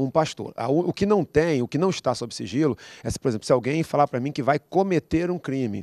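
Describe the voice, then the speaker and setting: Over a quiet background, a man talks at a fairly quick pace with a fairly high pitch and a dark, mellow tone. His pitch varies in an ordinary way, and the sound is dry with no echo. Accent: Brazilian. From Brazil. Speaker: pastor. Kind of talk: panel discussion. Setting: studio. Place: studio. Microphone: handheld.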